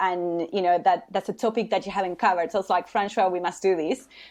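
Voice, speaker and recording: Someone talks with a Spanish accent. The background is quiet. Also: woman. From Uruguay. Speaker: HR consultant. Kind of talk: interview podcast.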